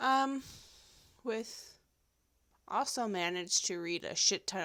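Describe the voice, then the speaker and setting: In a very clean recording with a silent background, a woman speaks at a very slow pace. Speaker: podcast host. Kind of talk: casual monologue. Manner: rambling.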